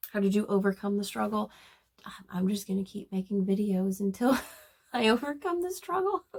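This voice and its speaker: Somewhat breathy and medium in pitch, a woman talks at a fairly quick pace with ordinary pitch variation and long, frequent pauses. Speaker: booktuber. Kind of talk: casual monologue. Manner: halting.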